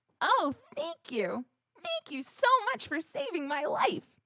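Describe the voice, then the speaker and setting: A woman does a put-on character voice that is squeaky and high-pitched, at a fairly slow pace. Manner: grateful.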